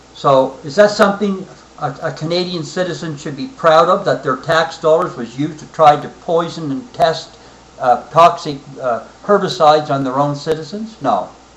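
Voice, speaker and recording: Over noticeable background noise, a man talks at a fairly high pitch and a moderate pace. His pitch variation is ordinary, and his loudness swings widely. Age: 60s. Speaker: military veteran. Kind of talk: personal political monologue. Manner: halting, frequent fillers.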